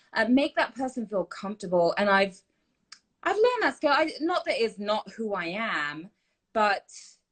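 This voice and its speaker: A woman with an English accent, a fairly high pitch and very wide pitch swings at a moderate pace. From UK. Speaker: TV host. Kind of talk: live Q&A chat. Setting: live stream.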